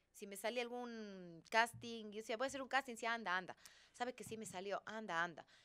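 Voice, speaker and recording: The speaker has a Cuenca Ecuadorian accent and a bright, sharp tone. The pace is fairly quick, with ordinary pitch variation. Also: woman. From Ecuador, Cuenca. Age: 40s. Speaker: actress. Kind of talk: casual chat. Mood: relaxed, reflective. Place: studio. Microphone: studio mic.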